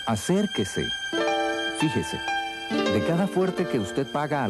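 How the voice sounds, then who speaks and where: Music plays in the background. The voice moves through very wide pitch swings. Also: man. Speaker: announcer. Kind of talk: TV commercial read.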